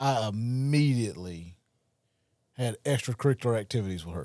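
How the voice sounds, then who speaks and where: A man with a medium-pitched voice and lively intonation is recorded with a dry, close sound and no echo. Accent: rural Southern US. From rural Mississippi, Wayne County. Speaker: recovery podcast host. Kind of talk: testimony.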